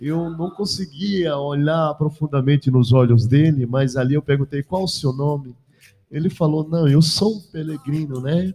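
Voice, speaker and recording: At a fairly slow pace, a man speaks in a fairly high, somewhat breathy voice with a dark, mellow tone and ordinary pitch variation. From Bahia, Brazil (Canudos). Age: 40s. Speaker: pastor and radio presenter. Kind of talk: casual chat. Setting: studio.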